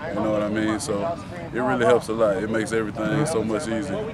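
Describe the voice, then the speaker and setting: Loud background noise surrounds this recording. A man speaks in a dry sound with no echo. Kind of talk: interview answer. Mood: relaxed, confident. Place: open country.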